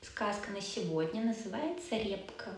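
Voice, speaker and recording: A woman at a fairly slow pace, with audible room echo and noticeable background noise. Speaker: language teacher. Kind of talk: storytelling lesson.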